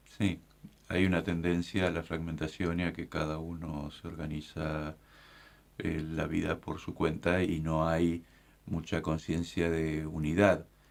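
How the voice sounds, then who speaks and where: A man's very deep, low voice, flat and monotone, at a very slow pace. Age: 60s. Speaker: bishop. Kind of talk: casual chat.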